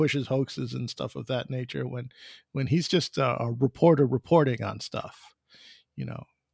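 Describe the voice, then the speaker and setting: Against a quiet background, a man with a normal speaking voice talks at a moderate pace and medium pitch, the sound dry and close with no echo. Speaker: podcast host. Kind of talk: casual interview chat.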